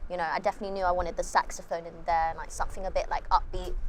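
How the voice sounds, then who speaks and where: Very fast female speech in a London accent with fairly even intonation. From London, England. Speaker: musician. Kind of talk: interview. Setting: outdoors, windy. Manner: soft-spoken; quiet.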